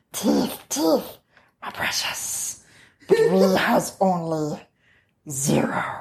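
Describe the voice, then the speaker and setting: In a put-on character voice that sounds female, medium-pitched and hissing, the speaker goes at a very slow pace with long, frequent pauses. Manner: hissing, greedy.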